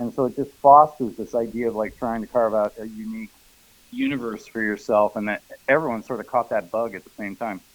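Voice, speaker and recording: Here is a normal speaking voice from a man at medium pitch. He goes at a fairly quick pace with fairly even intonation. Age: 60s. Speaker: noise musician. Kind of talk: casual chat.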